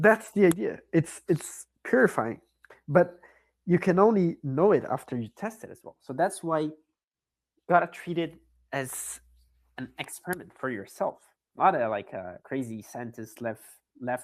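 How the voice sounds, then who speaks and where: In a non-native accent, a man with a fairly high pitch talks with long, frequent pauses, very wide pitch swings and big swings in loudness. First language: not English. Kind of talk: casual chat. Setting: online audio space.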